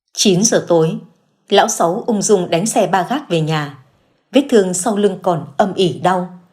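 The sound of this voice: Quiet surroundings, an unforced reading voice, and pitch that varies in an ordinary way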